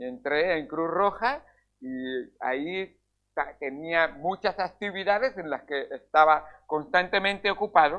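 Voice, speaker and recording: Speaking at a very slow pace, a man uses a high pitch with ordinary pitch variation. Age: 60s. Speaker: pastor. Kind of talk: sermon. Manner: halting.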